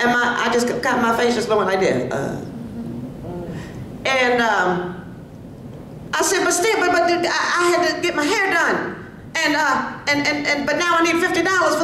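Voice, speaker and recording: Lively intonation marks a woman speaking at a moderate pace, with audible room echo and noticeable background noise. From US Northeast, Philadelphia. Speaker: civil rights advocate and speaker. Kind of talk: public speech at community event. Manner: storytelling, conversational.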